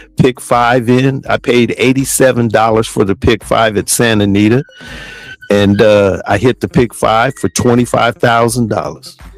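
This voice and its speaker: A man's plain, everyday voice at a medium pitch, moderate pace and fairly even intonation, in a dry, close sound with no echo. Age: 60s. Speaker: podcast host, horse racing handicapper. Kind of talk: casual chat.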